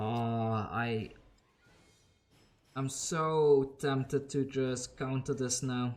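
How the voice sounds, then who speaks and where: A man of medium pitch with a non-native accent, very slow, with long, frequent pauses and fairly even intonation. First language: not English. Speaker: gaming YouTuber. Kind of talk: gameplay commentary; channel outro. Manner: casual, conversational.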